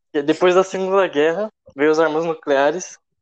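Dry and close with no echo, the recording carries a man's ordinary speaking voice, fairly high in pitch with ordinary variation, at a moderate pace. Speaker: geography student. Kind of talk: casual chat. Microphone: too quiet.

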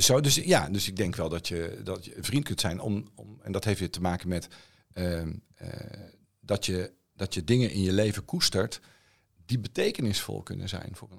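A plain, everyday voice from a man, fairly low in pitch with ordinary pitch variation, at a moderate pace with big swings in loudness, on a very clean recording with a silent background. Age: 50s. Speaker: songwriter and philosophy student. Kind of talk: casual chat.

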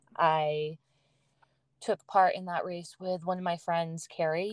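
The voice has an American accent and a monotone, flat intonation, with a dry, close sound and no echo. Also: woman. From US, Massachusetts. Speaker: runner and fitness instructor. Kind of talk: casual interview chat.

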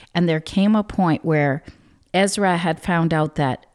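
A woman has a plain, everyday voice at a fairly low pitch with ordinary pitch variation. She talks at a fairly slow pace, and the sound is dry and close with no echo. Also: very clean recording, silent background. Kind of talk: devotional talk with prayer.

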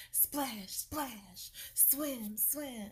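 A woman puts on a high-pitched character voice. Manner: playful, silly.

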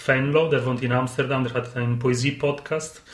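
A man speaks at a medium pitch and a moderate pace in an Italian accent. Audible room echo surrounds his voice. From Sardinia, Italy. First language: Italian (speaking German). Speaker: poetry slam organizer. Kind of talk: casual chat. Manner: halting.

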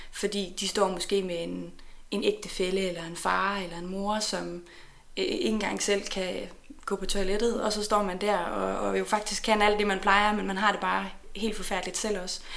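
A woman talks at a moderate pace. Noticeable background noise and audible room echo fill the recording. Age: 30s. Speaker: neuropsychologist. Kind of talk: interview. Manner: halting.

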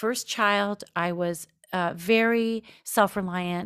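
The recording is very clean with a silent background, carrying a woman's ordinary speaking voice at medium pitch with fairly even intonation. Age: 40s. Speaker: writer and podcast host. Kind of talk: interview.

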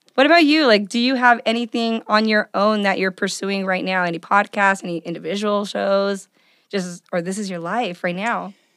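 A woman with an unremarkable speaking voice talks at a moderate pace and medium pitch, using ordinary pitch variation. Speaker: podcast host. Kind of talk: casual chat. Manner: excitable.

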